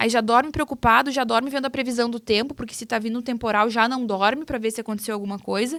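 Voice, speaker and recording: In a very clean recording with a silent background, a woman with a southern Brazilian accent talks at a fairly quick pace, her fairly high pitch moving in fairly even intonation. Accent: gaúcho Brazilian Portuguese. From southern Brazil, Rio Grande do Sul (Cruz Alta). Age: 30s. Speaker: farmer and agribusiness communicator. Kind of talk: podcast interview.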